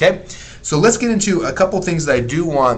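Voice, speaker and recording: Noticeable background noise runs under a man's lively intonation. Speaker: internet marketing teacher. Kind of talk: live webinar teaching. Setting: live stream. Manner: fast.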